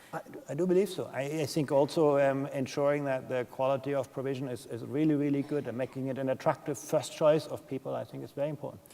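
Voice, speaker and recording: Talking at a very fast pace with hardly any pauses, a man with a German accent keeps a fairly high pitch and fairly even intonation. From Germany. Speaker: education policy expert. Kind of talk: conference Q&A.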